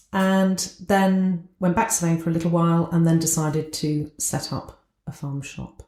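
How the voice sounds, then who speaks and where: A woman with a Southern English accent speaks at a moderate pace with hardly any pauses, her fairly low pitch carrying a dark, mellow tone and fairly even intonation. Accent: southern English, sounds posh. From southern England. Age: 60s. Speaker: business owner, entrepreneur. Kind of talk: podcast interview.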